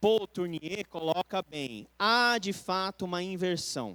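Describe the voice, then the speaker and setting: A man talks with lively intonation. The sound is dry and close, with no echo. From Brazil. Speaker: pastor. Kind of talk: Bible study lecture. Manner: conversational.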